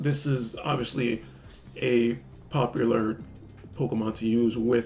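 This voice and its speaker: Music plays in the background. A man of medium pitch speaks with lively intonation. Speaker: card game content creator. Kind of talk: casual talk to camera.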